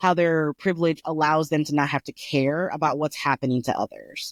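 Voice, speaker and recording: A woman's very deep, low voice with a slight Colorado accent at a moderate pace, dry and close with no echo, in a very clean recording with a silent background. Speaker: podcast co-host. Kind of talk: casual chat. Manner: careful enunciation.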